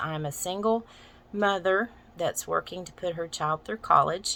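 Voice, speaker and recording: The voice has a bright, sharp tone and an American accent. It moves at a moderate pace with fairly even intonation. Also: woman. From US South, Arkansas Ozarks. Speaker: massage therapist and teacher, vlogger. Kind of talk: casual vlog introduction. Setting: getting ready for work while filming.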